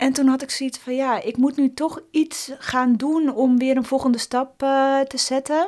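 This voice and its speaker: Speaking at a fairly slow pace, a woman with a high pitch keeps her intonation fairly even. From West-Friesland, Netherlands (Hoorn area). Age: 40s. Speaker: former Olympic speed skater. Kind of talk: casual interview.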